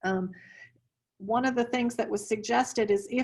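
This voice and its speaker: A woman with a plain, everyday voice talks at a moderate pace and medium pitch. Her intonation stays fairly even over a quiet background. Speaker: instructional technology trainer. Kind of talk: online training presentation. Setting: video call.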